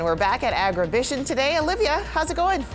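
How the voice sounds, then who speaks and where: Music plays in the background as a woman speaks. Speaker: news anchor. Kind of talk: TV news anchor read.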